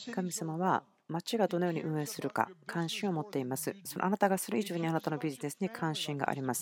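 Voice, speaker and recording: Her voice unremarkable and fairly low, a woman speaks at a fairly quick pace with lively intonation. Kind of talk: sermon, translated Japanese voice-over of a church message. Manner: earnest, conversational, personal and persuasive; steady, teaching pace with long run-on sentences.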